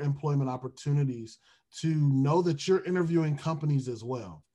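In an American accent, a man speaks at a moderate pace with a somewhat breathy, dark, mellow tone and ordinary pitch variation. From Detroit, US Midwest. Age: 20s. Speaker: HR recruiter and music minister. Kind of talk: podcast interview.

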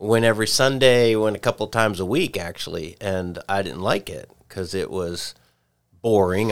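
A man with an ordinary speaking voice talks at a moderate pace, fairly low in pitch with ordinary variation. The recording is very clean, with a silent background. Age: 60s. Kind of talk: casual chat.

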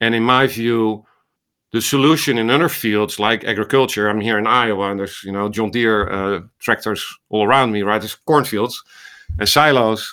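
In a Dutch accent, a man with a fairly low pitch and a bright, sharp tone keeps his intonation fairly even on a very clean recording with a silent background. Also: moderate pace. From Netherlands. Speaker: ophthalmologist and medical AI researcher. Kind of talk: interview conversation.

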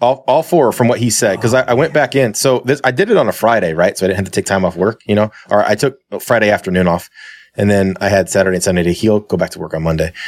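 In a very clean recording with a silent background, a man speaks at a very fast pace with lively intonation and a fairly low pitch. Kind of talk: casual chat. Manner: casual.

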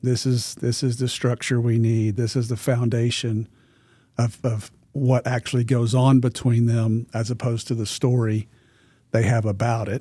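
A man with an American accent talks in a somewhat breathy, dark, mellow tone with monotone, flat intonation. The recording is very clean, with a silent background. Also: medium pitch for a man, moderate pace. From US South, Arkansas. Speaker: therapist and trainer, podcast co-host. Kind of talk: casual professional discussion.

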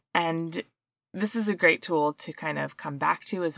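Recorded very cleanly, with a silent background and a dry, close sound with no echo, a woman with a plain, everyday voice speaks at a moderate pace and fairly low pitch, with lively intonation. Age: 40s. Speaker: health podcast host. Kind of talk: solo podcast monologue. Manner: casual, conversational.

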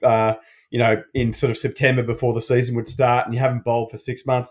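A man with an Australian accent speaks at a medium pitch and fairly quick pace, somewhat breathy. His intonation is monotone and flat, in a very clean recording with a silent background. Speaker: allied health practitioner. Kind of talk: casual chat.

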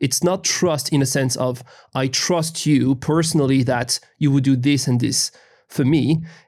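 A fairly high-pitched man in a French accent, fairly slow, with very even loudness and fairly even intonation. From France. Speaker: law professor. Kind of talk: interview.

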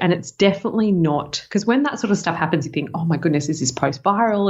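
With an Australian accent, a woman speaks with lively intonation. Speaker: health podcast co-host. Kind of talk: casual chat. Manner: quiet; fast.

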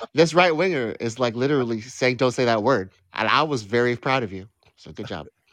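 A man with an ordinary speaking voice talks at a fairly quick pace at a medium pitch. His intonation is lively, and his loudness swings widely. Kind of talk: heated debate. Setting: live online call-in show.

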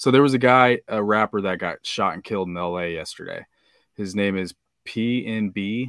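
A man with an American accent speaks at a moderate pace, his pitch fairly low and varying in an ordinary way. The sound is dry and close with no echo, on a very clean recording with a silent background. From Kansas, US Midwest. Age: 30s. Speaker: podcaster and amateur rapper. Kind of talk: casual chat.

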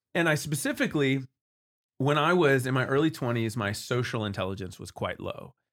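Heard in a very clean recording with a silent background, a man with a plain, everyday voice speaks at a medium pitch with lively intonation. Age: 30s. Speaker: worship pastor and social skills coach. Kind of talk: casual interview chat. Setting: studio, sitting across the table.

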